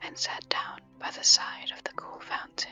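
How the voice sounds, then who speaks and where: Someone whispers at a fairly slow pace with music in the background. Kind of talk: ASMR whisper narration of a fairy tale. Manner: whispered.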